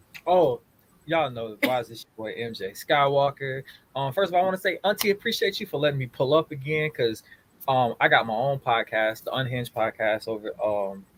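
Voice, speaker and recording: A man with an American accent and a plain, everyday voice talks at a fairly quick pace and fairly high pitch, with lively intonation and big swings in loudness. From Florida, near Tampa. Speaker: podcaster. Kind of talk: casual chat.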